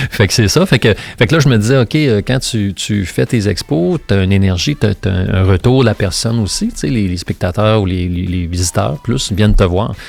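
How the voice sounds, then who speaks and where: Music plays in the background as a man speaks with a Quebec accent. His pitch is fairly low and his intonation is lively. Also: moderate pace. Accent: Québécois French. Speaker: sculptor. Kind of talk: interview conversation. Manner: casual, hesitant with many fillers.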